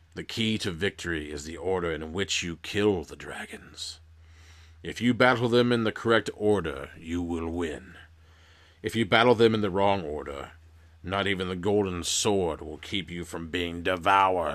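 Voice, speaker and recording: In a quiet put-on character voice, a man goes very deep and low at a moderate pace with ordinary pitch variation and big swings in loudness, on a very clean recording with a silent background. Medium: read story. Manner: quiet, solemn.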